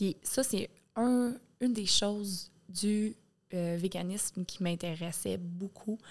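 This is a woman's voice. Her pitch is medium, with ordinary pitch variation. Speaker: podcast guest. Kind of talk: casual chat.

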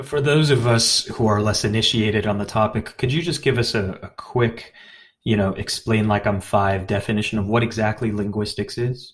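A man with an American accent speaks at a moderate pace with a fairly low pitch and fairly even intonation. His somewhat breathy voice is captured on a very clean recording with a silent background. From US, Chinese American. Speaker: podcast host. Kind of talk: interview.

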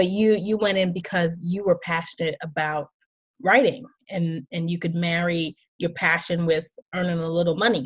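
A woman speaks at a moderate pace in a fairly low pitch. Her voice is somewhat breathy, with ordinary pitch variation. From Haitian family. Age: 40s. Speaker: podcast host. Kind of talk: casual interview chat; scripted monologue.

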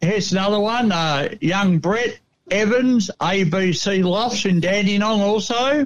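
A man with an Australian accent speaks at a high pitch. He goes fairly slowly, with ordinary pitch variation. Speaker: pigeon racing correspondent. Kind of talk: radio report of race results. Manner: halting, many fillers.

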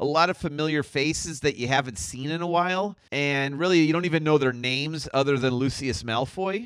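An ordinary speaking voice from a man, fairly high in pitch, with ordinary pitch variation and hardly any pauses. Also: fairly quick pace. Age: 50s. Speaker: podcast co-host, movie discussion. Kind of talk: casual chat.

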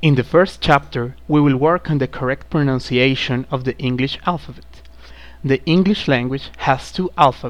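The speaker talks at a moderate pace with a Spanish accent. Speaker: student presenter of a pronunciation program. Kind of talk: scripted lesson narration.

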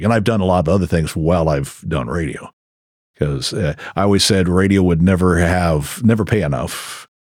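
A man with an American accent speaks at a very deep, low pitch with vocal fry. His pace is fairly quick, with ordinary pitch variation. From Crescent City, Northern California. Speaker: radio DJ. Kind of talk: casual interview chat. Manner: halting with repetitions.

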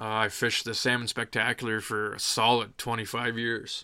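A man with an Ontario accent, medium in pitch, with a bright, sharp tone and monotone, flat intonation at a fairly slow pace. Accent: Canadian (Ontario). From southwestern Ontario, Canada. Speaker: fishing guest expert. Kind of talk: casual chat.

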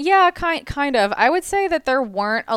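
A woman with an unremarkable speaking voice talks at a fairly slow pace with lively intonation, the sound dry and close with no echo on a very clean recording with a silent background. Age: 20s. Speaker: entrepreneur and business coach. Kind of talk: casual chat.

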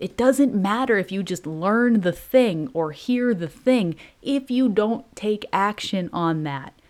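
A woman with a warm tone and medium pitch speaks very slowly yet with hardly any pauses, her intonation lively. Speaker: podcast host and motivational coach. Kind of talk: pep talk. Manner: animated, hyped-up, urgent and punchy; warm, direct, sisterly.

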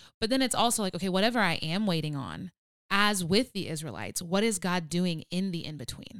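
A woman speaks in a normal speaking voice at a medium pitch and fairly quick pace. Her pitch varies in an ordinary way, and the recording is very clean with a silent background. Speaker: podcast co-host. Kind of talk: casual chat podcast with faith talk. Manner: playful, humorous.

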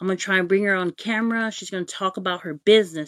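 Dry and close with no echo, in a very clean recording with a silent background, a woman speaks in an ordinary speaking voice at a medium pitch with ordinary pitch variation. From American Samoa. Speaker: live-stream host. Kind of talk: casual live-stream talk. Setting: Facebook live stream.

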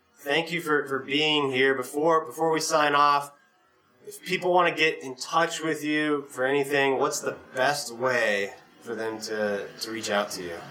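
Over noticeable background noise, a man speaks at a fairly slow pace in a fairly high voice with ordinary pitch variation. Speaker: podcast host. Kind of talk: interview. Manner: enthusiastic.

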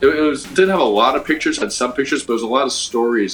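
A man talks at a very fast pace over music in the background. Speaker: graffiti artist. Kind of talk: casual chat.

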